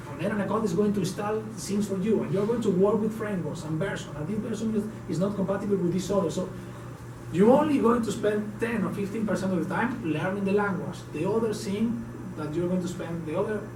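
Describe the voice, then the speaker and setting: Noticeable background noise and audible room echo surround the recording. A man with a high pitch speaks at a very fast pace. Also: ordinary pitch variation. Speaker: tech conference speaker. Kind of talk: technical talk at a meetup. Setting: meetup room with audience. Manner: animated.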